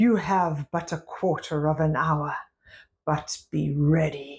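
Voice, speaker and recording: A put-on character voice growls at a middle pitch and a fairly slow pace. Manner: snarling.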